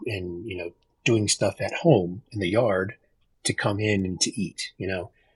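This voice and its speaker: A man's somewhat breathy voice with fairly even intonation, in a dry, close sound with no echo. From Texas. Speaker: podcast guest sharing life stories. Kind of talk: casual chat.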